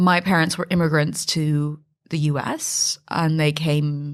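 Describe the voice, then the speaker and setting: In a very clean recording with a silent background, a woman with a West Coast American accent speaks at a very deep, low pitch with fairly even intonation. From US, Northern California (Silicon Valley). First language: Mandarin. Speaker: fintech founder and CEO. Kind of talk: podcast interview.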